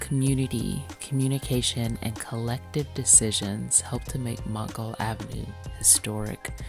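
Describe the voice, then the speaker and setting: A woman talks at a moderate pace with a very deep, low pitch and lively intonation. Music plays in the background. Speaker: podcast host. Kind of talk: podcast intro narration.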